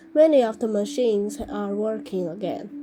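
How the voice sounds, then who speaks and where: A woman does a robotic, put-on character voice at a medium pitch and moderate pace. Clear music plays in the background. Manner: flat, mechanical.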